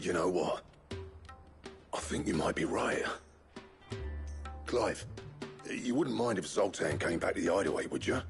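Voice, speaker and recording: Over clear background music, a man puts on a raspy character voice at a medium pitch and a moderate pace. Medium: short film.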